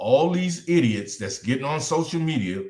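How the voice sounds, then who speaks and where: Lively intonation and vocal fry from a man with a fairly high pitch, at a moderate pace. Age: 60s. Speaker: talk show co-host. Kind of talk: casual live-stream discussion. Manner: animated.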